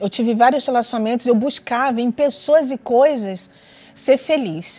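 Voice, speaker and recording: Her voice sits high in pitch, with ordinary variation. This woman keeps a moderate pace. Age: 40s. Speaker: church member giving testimony. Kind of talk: testimony. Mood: emotional, reflective. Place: studio. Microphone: lapel.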